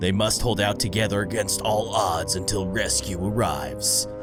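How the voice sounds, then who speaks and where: Loud music plays in the background as a man performs a put-on character voice. His pitch is fairly low and his pace moderate. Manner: dramatic, intense.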